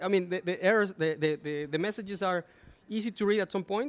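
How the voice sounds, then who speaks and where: The pitch sits high. It belongs to a man. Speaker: conference speaker, chemical engineer. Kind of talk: conference Q&A. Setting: conference talk with audience. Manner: fast.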